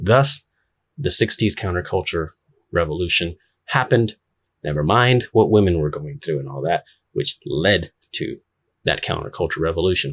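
A man with an American accent and a very deep, low pitch, somewhat breathy, at a moderate pace with lively intonation and long, frequent pauses, in a very clean recording with a silent background. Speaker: YouTuber. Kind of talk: monologue commentary. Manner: casual, with fillers.

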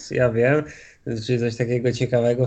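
A man with an unremarkable speaking voice talks fairly quickly at a medium pitch. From Poland. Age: 20s. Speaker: sim racing driver. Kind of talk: interview.

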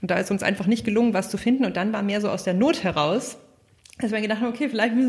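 The voice is somewhat breathy. Its pitch moves in an ordinary way. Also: woman. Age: 30s. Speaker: company founder. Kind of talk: interview.

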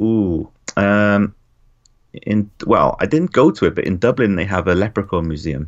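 With an unremarkable speaking voice, a man talks at a moderate pace, his pitch fairly low and showing ordinary pitch variation. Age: 30s. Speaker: comics creator and writer. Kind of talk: casual chat. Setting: call.

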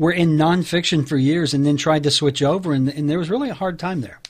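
Speaking at a fairly quick pace, a man has an ordinary speaking voice, fairly high in pitch, with ordinary pitch variation. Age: 50s. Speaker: podcast host. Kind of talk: interview.

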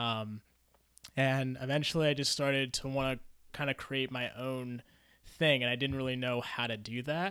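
This man talks at a moderate pace in a bright, sharp tone, keeping his intonation fairly even. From US, moved among five states. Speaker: engineer and novelist. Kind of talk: casual chat. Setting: in-person studio interview.

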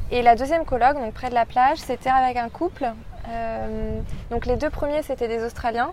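With noticeable background noise behind her, a woman speaks in a high voice with fairly even intonation. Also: moderate pace. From France, Paris. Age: 20s. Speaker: marketing professional, expatriate. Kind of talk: interview. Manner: hesitant, many fillers.

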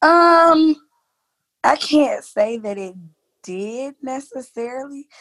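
In an American accent, a woman with a high pitch speaks at a very slow pace, with lively intonation and long, frequent pauses. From US South, Jacksonville, Florida. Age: 30s. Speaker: middle school teacher. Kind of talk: casual interview.

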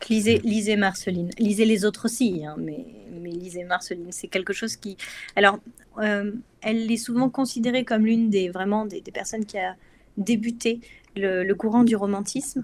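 A woman of medium pitch speaks at a moderate pace in an unremarkable speaking voice, her intonation fairly even and her loudness swinging widely. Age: 30s. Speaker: neuroscience researcher. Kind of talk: casual chat.

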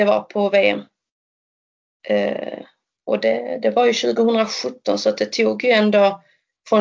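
A woman talks at a very slow pace. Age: 30s. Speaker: para-triathlete. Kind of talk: interview.

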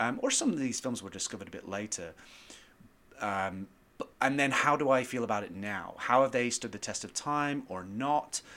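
Speaking with an American accent at a moderate pace, a man uses a medium pitch with ordinary variation and a bright, sharp tone, his loudness swinging widely. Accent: British with slight American twang. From northern England. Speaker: screenwriter guest. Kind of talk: casual interview and film discussion.

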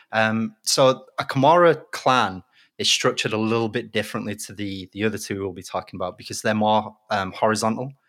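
Speaking at a fairly quick pace with a British accent, a man has a fairly low pitch, ordinary pitch variation and big swings in loudness, in a very clean recording with a silent background. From Britain. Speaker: mafia expert guest. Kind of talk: casual chat.

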